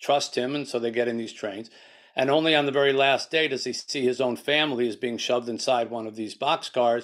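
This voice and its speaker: At a moderate pace, a man speaks with fairly even intonation against a quiet background. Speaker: guest. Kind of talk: interview answer. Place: home room. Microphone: video call.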